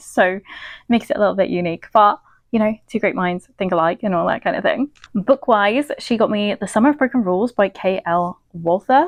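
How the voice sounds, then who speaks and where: With a British accent, a woman talks at a medium pitch with lively intonation. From Britain. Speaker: book vlogger. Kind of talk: casual vlog.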